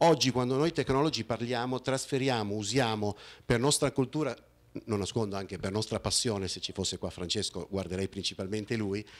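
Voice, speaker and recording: A man with lively intonation. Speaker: conference speaker. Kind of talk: conference talk with slides. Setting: conference hall with audience. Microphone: handheld.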